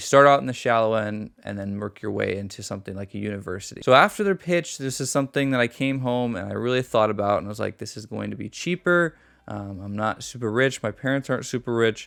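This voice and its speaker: On a very clean recording with a silent background, a man with a medium pitch and ordinary pitch variation talks at a very fast pace with hardly any pauses and big swings in loudness. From US West Coast, San Francisco Bay Area. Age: 20s. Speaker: youtuber. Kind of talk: vlog monologue. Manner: casual with frequent filler ums.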